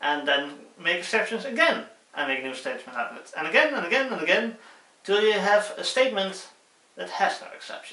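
Speaking with a Dutch accent, a man uses a high, raised, projected voice with very wide pitch swings at a fairly quick pace, and audible room echo surrounds him. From Netherlands. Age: 20s. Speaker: student YouTuber. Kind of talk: casual tutorial. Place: home room. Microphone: phone near.

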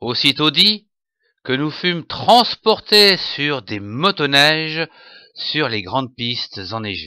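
At a very slow pace and fairly high pitch, a man speaks in a calm, bright, sharp tone with very wide pitch swings. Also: very clean recording, silent background. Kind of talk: bedtime story narration, scripted Christmas tale told in the first person plural. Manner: calm, storytelling pace, gently expressive.

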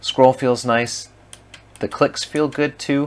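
Very slowly, a man says his words. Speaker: product reviewer. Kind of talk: casual product review. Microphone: camera far.

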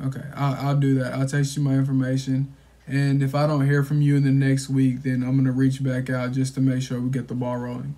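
Speaking at a fairly quick pace, the man keeps a monotone, flat intonation. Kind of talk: sales phone call. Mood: calm, reassuring. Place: home room. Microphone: phone near.

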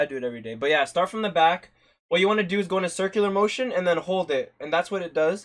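A man talks at a very fast pace in a high voice with lively intonation. The background is quiet. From Canada. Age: 20s. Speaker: streamer and barber. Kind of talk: live-stream hair tutorial. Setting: live stream at home. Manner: casual, chatty. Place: home room. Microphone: phone near.

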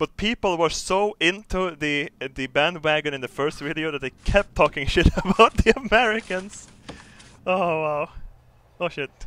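A man with a Swedish accent speaks at a moderate pace in a high, bright, sharp voice with ordinary pitch variation and big swings in loudness. The sound is dry and close, with no echo. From Sweden. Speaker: gaming streamer. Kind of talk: casual live-stream commentary. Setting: live stream. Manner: animated, halting with repetitions.

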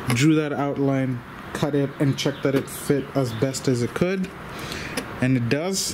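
A man speaks at a fairly slow pace in a medium pitch, with ordinary pitch variation and clear background noise.

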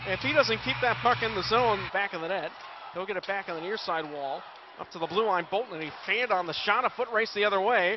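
A man speaks very fast in an excited tone, at a high pitch with ordinary pitch variation. The sound is dry with no echo, but background noise is noticeable. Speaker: hockey play-by-play announcer. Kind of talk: live sports commentary. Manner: rapid-fire, excited play-by-play that swells at goals; fluent, breathless call of each pass and shot. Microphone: headset.

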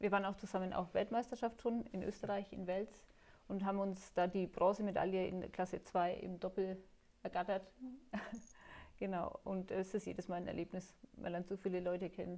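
The voice has a dark, mellow tone and monotone, flat intonation. It keeps a moderate pace, broken by long, frequent pauses. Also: woman, medium pitch for a woman. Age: 40s. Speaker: table tennis player with Parkinson's. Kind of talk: interview. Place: hall. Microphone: lapel.

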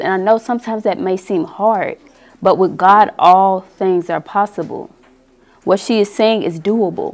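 This woman talks at a moderate pace. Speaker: church member leading opening prayer. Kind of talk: prayer. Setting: church. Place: meeting room. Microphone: headset.

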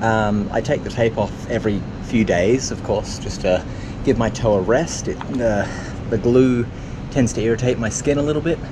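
A man talks at a moderate pace with ordinary pitch variation. Noticeable background noise can be heard. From Australia, New South Wales. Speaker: triathlon vlogger. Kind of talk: casual vlog to camera. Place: waterside. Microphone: phone near.

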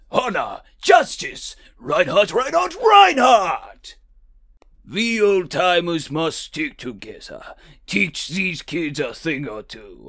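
Very slowly and with big swings in loudness, a man talks in a high voice. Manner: boisterous, shouting.

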